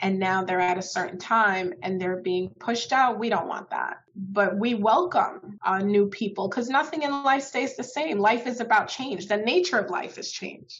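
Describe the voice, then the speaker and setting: A woman with a New York accent, lively intonation, a moderate pace and hardly any pauses, against noticeable background noise. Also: medium pitch for a woman. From Brooklyn, New York. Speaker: state legislator. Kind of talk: interview.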